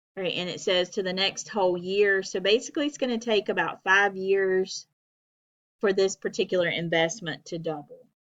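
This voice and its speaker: Speaking with an ordinary speaking voice, a woman keeps a moderate pace, a medium pitch and ordinary pitch variation. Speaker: math instructor. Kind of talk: lecture.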